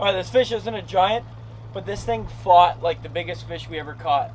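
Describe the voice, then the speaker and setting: Light background noise accompanies a man as he talks. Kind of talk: casual vlog chat. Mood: excited, satisfied. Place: boat.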